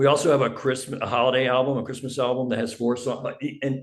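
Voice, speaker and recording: A man talks fairly fast, and the room's echo can be heard. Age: 70s. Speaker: indie musician. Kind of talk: casual interview chat.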